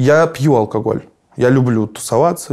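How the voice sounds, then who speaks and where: Here a man talks in a dark, mellow tone. His pitch varies in an ordinary way against a quiet background. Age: 30s. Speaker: musician; interviewee. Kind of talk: interview. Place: studio. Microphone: lapel.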